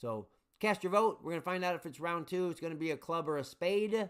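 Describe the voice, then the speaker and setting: A man talks at a moderate pace. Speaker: livestream game host. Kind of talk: casual live stream chat. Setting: live stream. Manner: mumbling, hesitant with fillers.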